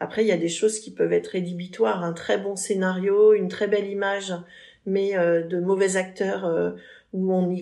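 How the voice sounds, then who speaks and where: A woman speaks in an unremarkable speaking voice at a medium pitch and moderate pace. Her intonation is fairly even on a very clean recording with a silent background. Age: 50s. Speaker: cultural festival director. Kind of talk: interview.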